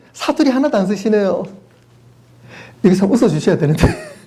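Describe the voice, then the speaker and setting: A man's pitch swings very widely as he talks in a room with audible echo and noticeable background noise. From South Korea, Daegu. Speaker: pastor. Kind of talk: sermon. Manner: animated.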